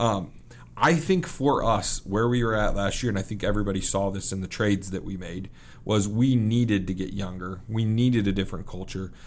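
Audible room echo surrounds a man with an American accent who speaks at a fairly quick pace, with a fairly low pitch and ordinary pitch variation. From US Midwest, Kansas City. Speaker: pro hockey team executive. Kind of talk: podcast interview. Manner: halting, many fillers.

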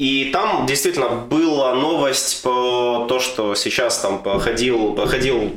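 A man speaks at a very slow pace. Room echo is audible around his voice. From Western Ukraine. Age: 20s. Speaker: soldier. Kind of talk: casual chat.

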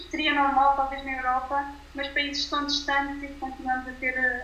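Audible room echo surrounds the speaker. She is a woman with a high pitch and monotone, flat intonation. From Portugal. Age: 20s. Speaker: nutritionist. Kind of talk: casual interview. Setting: remote call. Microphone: poor sound quality via WhatsApp, quieter.

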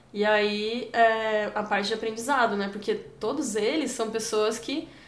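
Fairly high-pitched female speech, fairly even in intonation, with audible room echo. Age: 20s. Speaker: forestry engineer and volunteer traveler. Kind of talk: interview. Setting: office.

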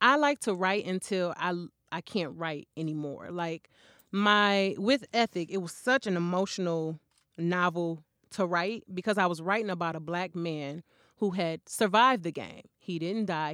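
A woman with an American accent has an unremarkable speaking voice, a fairly low pitch and ordinary pitch variation at a moderate pace. The recording is very clean, with a silent background and a dry, close sound with no echo. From Flint, Michigan. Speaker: author. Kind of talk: interview.

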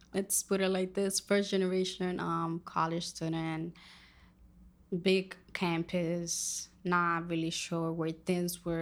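A woman's fairly slow speech in a Spanish accent. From Dominican Republic. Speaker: college student. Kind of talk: casual interview.

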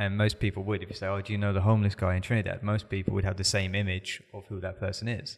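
Delivered at a very fast pace with hardly any pauses, the speech is monotone and flat, in a British accent. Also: man, fairly low pitch for a man. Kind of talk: casual chat. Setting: studio.

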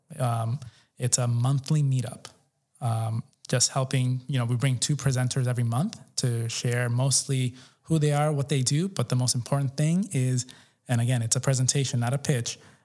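With an American accent, a man talks at a moderate pace in a dark, mellow, somewhat breathy tone, with very even loudness and fairly even intonation. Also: medium pitch for a man. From New York City, Colombian American family. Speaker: entrepreneur and community event organizer. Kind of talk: interview. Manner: casual, filler-heavy.

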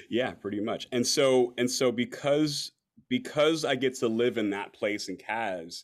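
This is an ordinary speaking voice with lively intonation. The recording is very clean, the background silent. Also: man. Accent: American. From Los Angeles. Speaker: performance artist and beatboxer. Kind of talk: casual chat.

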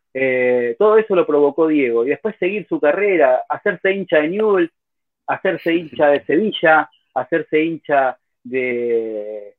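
Speaking in a Rioplatense accent, a man uses lively intonation at a fairly high pitch and a fairly slow pace. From Buenos Aires, Argentina. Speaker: football podcaster. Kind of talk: casual chat.

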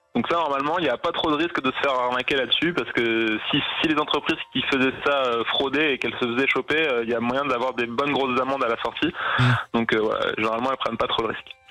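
Very fast speech from a man with fairly even intonation and very even loudness, over music in the background. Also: medium pitch for a man. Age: 30s. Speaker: ecology expert. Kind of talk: radio interview.

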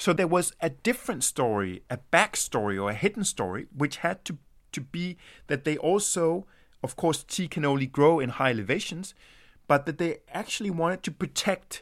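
A man with a fairly high pitch speaks at a moderate pace with very wide pitch swings and vocal fry, on a very clean recording with a silent background. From Denmark. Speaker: anthropologist. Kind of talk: interview.

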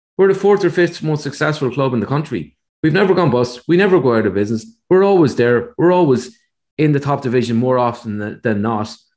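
With an Irish accent, a man speaks at a fairly quick pace and medium pitch, his intonation lively. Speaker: podcast co-host, analyst. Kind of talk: casual chat. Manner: measured, analytical.

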